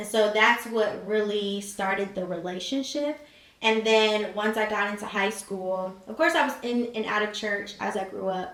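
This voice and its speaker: With an American accent, a woman at medium pitch speaks at a moderate pace with fairly even intonation, over audible room echo and noticeable background noise. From Cincinnati, Ohio, US Midwest. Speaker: college student and marketing entrepreneur. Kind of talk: podcast interview. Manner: casual, with frequent fillers.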